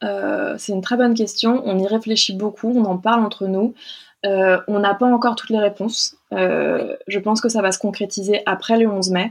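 Her pitch sits in the middle range as a woman talks at a moderate pace in an ordinary speaking voice, her intonation fairly even. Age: 30s. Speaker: film and photo advertising producer. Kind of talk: interview.

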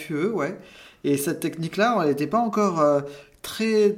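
A man talks at a moderate pace with a high pitch and ordinary pitch variation. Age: 40s. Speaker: cosmetic surgery patient. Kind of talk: testimony. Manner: halting.

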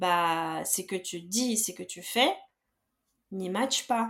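A woman talks with a slight Belarusian accent. Her pitch variation is ordinary. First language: Belarusian or Russian (speaking French). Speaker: personal finance coach. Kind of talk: podcast interview.

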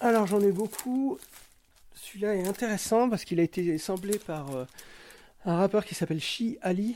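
At a moderate pace with long, frequent pauses, a man speaks in a high pitch with ordinary pitch variation and a dark, mellow tone. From western France (Cholet). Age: 40s. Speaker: hip-hop DJ and record collector. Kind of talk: casual interview chat. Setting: at home.

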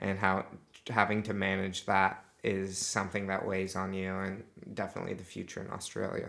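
In an American accent, a man with a very deep, low yet bright, sharp voice speaks in a monotone, flat way. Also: moderate pace. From US, Utah. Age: 20s. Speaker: podcast guest, traveller. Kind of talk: casual interview.

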